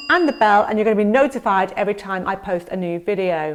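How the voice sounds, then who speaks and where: In an English accent, a woman talks at a fairly quick pace with a fairly high pitch and lively intonation. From England. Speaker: real estate agent. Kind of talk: vlog-style informational talk to camera. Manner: conversational with fillers.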